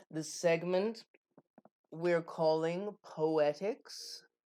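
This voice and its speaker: At a very slow pace, a woman speaks at a fairly low pitch with ordinary pitch variation. The recording is very clean, with a silent background. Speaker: tarot reader and spiritual performer. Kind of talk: spoken tutorial to camera. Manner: casual, thinking aloud.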